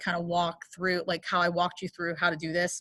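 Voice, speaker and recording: A woman speaks at a fairly quick pace and a medium pitch. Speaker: English teacher. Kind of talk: class instructions. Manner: fast.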